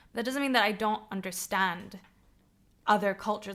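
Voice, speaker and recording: A woman with an American accent, her pitch medium. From not the UK, Middle Eastern heritage. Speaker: podcast co-host, runs a creative company. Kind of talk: casual chat.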